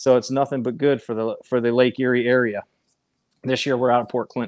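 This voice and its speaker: In a dry recording with no echo, a man talks at a fairly quick pace with monotone, flat intonation. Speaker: guest. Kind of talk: interview answer. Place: garage. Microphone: earbuds.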